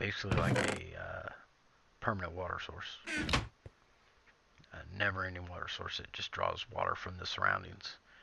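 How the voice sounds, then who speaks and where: Soft-spoken at a moderate pace, a man talks with big swings in loudness and long, frequent pauses over noticeable background noise. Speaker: gaming video creator. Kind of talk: gameplay commentary. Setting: at home.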